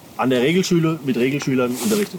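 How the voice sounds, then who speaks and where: Very wide pitch swings run through this man's very fast speech. Noticeable background noise can be heard. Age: 30s. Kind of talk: interview.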